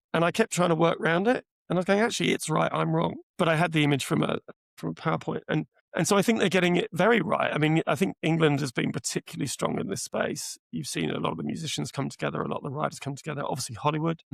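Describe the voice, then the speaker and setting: On a dry, close recording with no echo, a man with a British accent speaks very fast. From UK. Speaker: AI product executive. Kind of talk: podcast interview.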